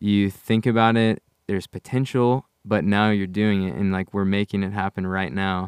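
A man with an American accent, fairly low in pitch, at a moderate pace. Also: fairly even intonation. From US Midwest, near St. Louis, Missouri. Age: young. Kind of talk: casual chat.

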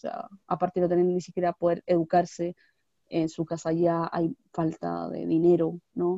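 A woman's unremarkable speaking voice, fairly low in pitch, with a moderate pace and fairly even intonation. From Chile, Valparaíso region. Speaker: podcast co-host. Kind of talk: casual chat. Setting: video call.

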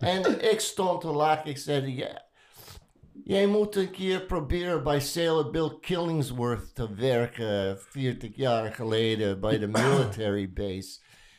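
Very slowly, a man speaks at a fairly high pitch with very wide pitch swings. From United States. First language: English (speaking Dutch). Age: 70s. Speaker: veteran tattoo artist. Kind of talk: casual chat. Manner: halting.

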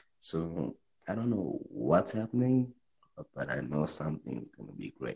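A man speaks at a fairly slow pace, his very deep, low pitch making very wide swings and carrying vocal fry. His loudness rises and falls in big swings. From South Africa. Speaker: podcaster. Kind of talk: casual chat.

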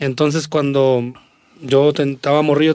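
Speaking at a fairly slow pace, a man delivers his words in a monotone with flat intonation. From Mexico, Aguascalientes (Jesús María). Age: 40s. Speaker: singer and accordionist. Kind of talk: casual chat.

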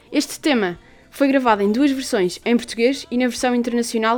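A woman speaks at a fairly quick pace with ordinary pitch variation over noticeable background noise. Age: 18. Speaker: student radio co-host. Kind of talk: radio show chat, partly scripted.

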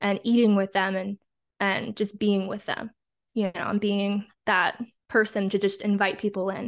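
Over a quiet background, a woman talks at a moderate pace and medium pitch with monotone, flat intonation. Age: 20s. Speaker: Airbnb host and stay-at-home mom. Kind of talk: casual chat.

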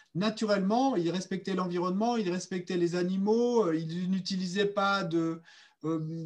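A man with a high voice speaks at a fairly slow pace. His intonation stays fairly even. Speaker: interpreter. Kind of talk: consecutive interpretation. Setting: video call. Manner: halting.

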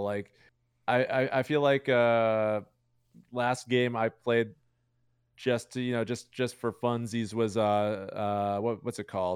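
A man talks at a fairly slow pace with an American accent, at a medium pitch. He has a normal speaking voice, and the recording is very clean with a silent background. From Chicago, US Midwest. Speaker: Twitch streamer, card game player. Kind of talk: casual chat.

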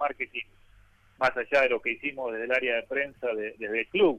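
A man speaks in an ordinary speaking voice, fairly high in pitch, with ordinary pitch variation. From Argentina, Buenos Aires western suburbs. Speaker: sports journalist. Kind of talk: interview.

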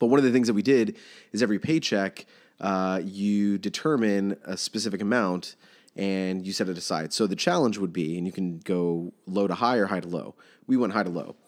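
At a fairly quick pace, a man with an ordinary speaking voice talks at a fairly low pitch with ordinary pitch variation. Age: 30s. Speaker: bank recruiter, guest co-host. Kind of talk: casual chat.

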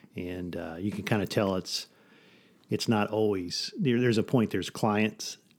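Over a silent background in a very clean recording, a man uses a normal speaking voice at a fairly low pitch, keeping a moderate pace and fairly even intonation. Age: 50s. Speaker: photographer and podcast host. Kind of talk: casual chat. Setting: studio.

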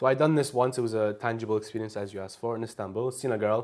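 The speaker is a man with a Glaswegian accent and a medium pitch. He talks at a very fast pace. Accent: Glaswegian Scottish. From Scotland, Glasgow. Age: 20s. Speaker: language exchange speaker. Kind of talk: casual interview chat.

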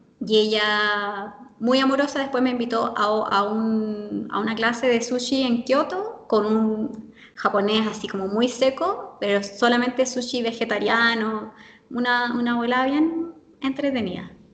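Over noticeable background noise, a woman talks at a fairly slow pace in a fairly high pitch with ordinary pitch variation. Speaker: language teacher who lived in Japan. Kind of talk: interview.

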